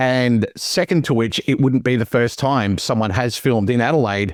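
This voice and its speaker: An Australian accent from a man at medium pitch and moderate pace, on a very clean recording with a silent background. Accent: Australian, noticed by others. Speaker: movie podcast co-host. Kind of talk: casual chat.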